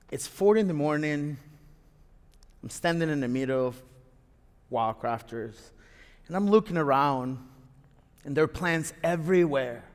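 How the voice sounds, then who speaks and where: Speaking with a Spanish accent, a man moves at a moderate pace with ordinary pitch variation and long, frequent pauses. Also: fairly high pitch for a man. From Venezuela, Caracas. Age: 40s. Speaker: storyteller. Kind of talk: live storytelling. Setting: stage with audience.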